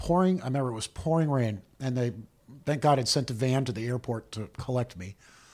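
His pitch shifts in an ordinary way. The man keeps a moderate pace. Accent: American. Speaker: film assistant director. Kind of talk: interview.

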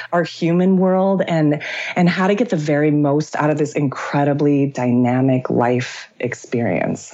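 Over noticeable background noise, a woman with a very deep, low pitch talks at a fairly slow pace in an animated tone, her intonation lively and her loudness very even. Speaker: author and actor. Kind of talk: casual interview conversation. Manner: animated, joyful, laughs often.

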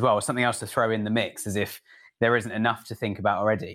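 A man with a British accent talks at a very fast pace and medium pitch. The recording is very clean, with a silent background. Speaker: podcast host. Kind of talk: casual interview chat. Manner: fast talker.

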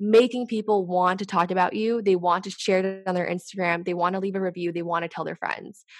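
A woman with an ordinary speaking voice talks at a fairly quick pace and medium pitch, with ordinary pitch variation. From Canada. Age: 20s. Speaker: startup e-commerce lead. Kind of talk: casual interview chat.

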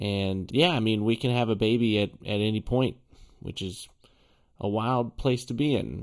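A man speaks at a moderate pace with fairly low pitch. His is a plain, everyday voice. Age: 30s. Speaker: podcast host. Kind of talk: casual chat.

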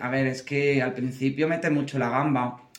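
Over noticeable background noise and audible room echo, a man with an Andalusian accent talks at a moderate pace in a fairly high, monotone, flat voice. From Andalusia (Córdoba). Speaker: drag queen. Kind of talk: casual chat.

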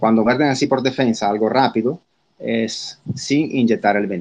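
A man with an ordinary speaking voice, medium pitch and ordinary pitch variation. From Italy. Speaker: spider expert. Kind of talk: interview.

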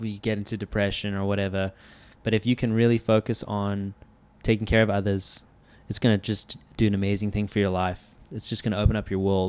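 In a very clean recording with a silent background, the voice moves at a fairly quick pace with monotone, flat intonation. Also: man, fairly low pitch for a man. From South Africa. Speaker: realtor and charity co-founder. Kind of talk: casual chat.

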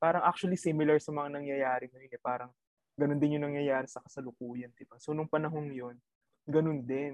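A man speaks at a fairly high pitch and a fairly quick pace, in monotone, flat intonation with big swings in loudness. The sound is dry and close, with no echo. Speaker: university student. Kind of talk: casual chat.

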